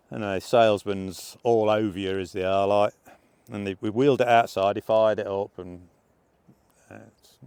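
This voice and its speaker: A man with an English accent and a fairly low pitch, in a very clean recording with a silent background. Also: dry, close sound with no echo. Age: 60s. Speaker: motorcycle vlogger. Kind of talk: casual vlog review. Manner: hesitant, many fillers.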